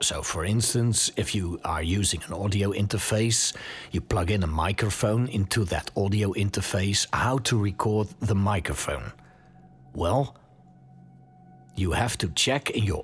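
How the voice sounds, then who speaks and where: Music plays in the background as a man talks at a fairly slow pace. He has a fairly low pitch and a Dutch accent. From Netherlands. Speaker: podcast host. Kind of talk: tutorial. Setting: home studio. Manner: casual, with hesitations.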